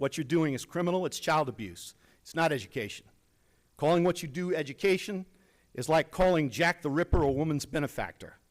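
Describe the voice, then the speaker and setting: On a very clean recording with a silent background, a man with an ordinary speaking voice talks fairly high and fairly quickly, with ordinary pitch variation and big swings in loudness. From Virginia. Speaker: retired army chaplain and veteran. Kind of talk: public comment speech at a school board meeting. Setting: meeting hall. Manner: forceful, indignant.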